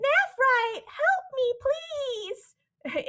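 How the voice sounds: A female-sounding voice performs a put-on character voice. The pitch is extremely high.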